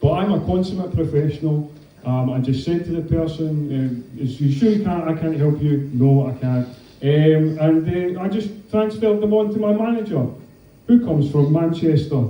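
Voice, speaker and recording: A man with a Scottish accent, fairly high-pitched, dark and mellow in tone, with ordinary pitch variation, a moderate pace and audible room echo. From Scotland. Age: 30s. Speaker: comedian. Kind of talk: stand-up.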